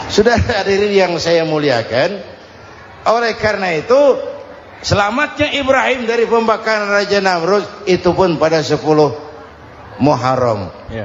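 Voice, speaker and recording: A man speaks at a moderate pace, his pitch high and swinging very widely. Noticeable background noise sits behind him. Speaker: Islamic preacher. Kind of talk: humorous Islamic sermon to a congregation. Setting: old recording of a live sermon. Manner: relaxed, firm, humorous.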